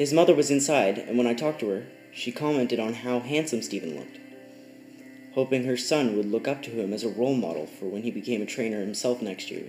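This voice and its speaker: Over background music, a man talks very fast at a medium pitch with ordinary variation in tone. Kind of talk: creepypasta narration. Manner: stuttering.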